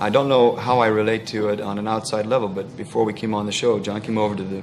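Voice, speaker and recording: Noticeable background noise and audible room echo accompany a man with a fairly low pitch and fairly even intonation. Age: 30s. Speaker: actor. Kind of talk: talk show interview.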